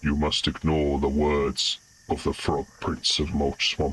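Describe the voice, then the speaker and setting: A put-on character voice with a very deep, low pitch moves at a fairly slow pace. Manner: weird, eerie, commanding.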